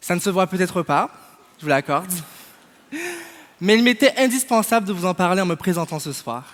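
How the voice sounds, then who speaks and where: A man's high-pitched voice with lively intonation, a moderate pace and long, frequent pauses. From Martinique. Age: 20s. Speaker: podcast founder and student. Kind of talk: prepared speech. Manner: formal.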